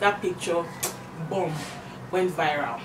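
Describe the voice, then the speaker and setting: A woman speaks very slowly with a Nigerian accent and a fairly low pitch. Noticeable background noise runs under her voice. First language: not English. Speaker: beauty YouTuber and influencer. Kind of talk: casual monologue with makeup tutorial. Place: home room. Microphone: camera far.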